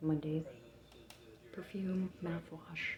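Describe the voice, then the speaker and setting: A woman whispers, soft-spoken. She goes at a very slow pace. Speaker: vlogger. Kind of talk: casual vlog. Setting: hotel room. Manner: whispering, soft.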